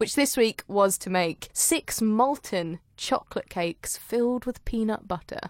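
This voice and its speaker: Recorded dry and close with no echo and a silent background, a woman with an English accent and fairly high pitch speaks at a fairly slow pace with lively intonation and hardly any pauses. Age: 20s. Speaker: podcast host. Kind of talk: casual chat.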